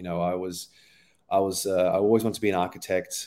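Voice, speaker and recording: Against a silent background on a very clean recording, a man speaks with an Australian accent. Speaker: performance coach. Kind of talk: casual interview.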